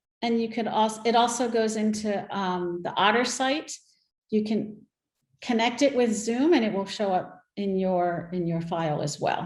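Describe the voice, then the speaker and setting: A woman at a moderate pace, ordinary pitch variation, audible room echo. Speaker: workshop presenter. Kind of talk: virtual workshop Q&A.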